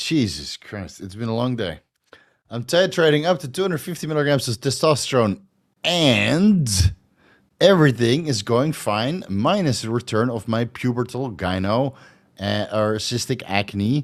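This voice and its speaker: A man speaks at a medium pitch with very wide pitch swings. His pace is fairly slow, on a very clean recording with a silent background. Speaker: fitness and hormone youtuber. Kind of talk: live stream Q&A. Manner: stumbling over words; stutter.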